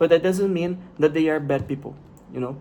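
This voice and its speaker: In a fairly high pitch, a man talks with a Brazilian accent. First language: Portuguese. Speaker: vlogger. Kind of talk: casual monologue. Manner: halting, with repetitions.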